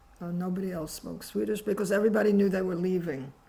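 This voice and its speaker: A woman's medium-pitched, somewhat breathy voice with fairly even intonation and audible room echo. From New York, US (emigrated from Poland at eight). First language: Polish. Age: 80s+. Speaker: author and activist. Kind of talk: interview.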